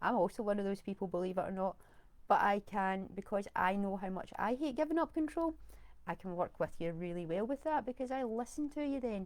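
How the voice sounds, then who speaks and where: A fairly quick pace in a Scottish accent, with very wide pitch swings. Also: woman, medium pitch for a woman. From Scotland. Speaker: virtual assistant. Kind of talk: live video talk. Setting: live stream on camera.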